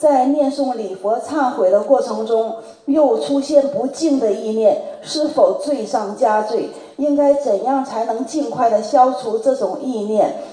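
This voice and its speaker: This woman's voice is high in pitch, with noticeable background noise present. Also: ordinary pitch variation, fairly slow pace. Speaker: representative of a Buddhist study group asking questions. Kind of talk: reading prepared questions aloud.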